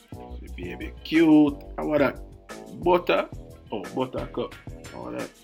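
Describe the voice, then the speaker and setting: With music in the background, a man speaks at a fairly slow pace with a Jamaican accent. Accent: Jamaican patois. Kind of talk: casual humorous voiceover commentary.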